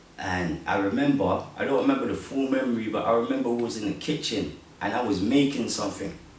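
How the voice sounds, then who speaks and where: A man with a London accent, fairly quick pace and lively intonation, amid audible room echo and noticeable background noise. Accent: London multicultural English. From South London, England (born Congo, moved at five). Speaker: podcast host. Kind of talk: casual interview chat.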